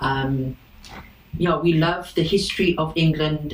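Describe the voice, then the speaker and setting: A woman with a South African accent speaks at a very slow pace. Noticeable background noise runs behind her. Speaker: boat owner. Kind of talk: interview.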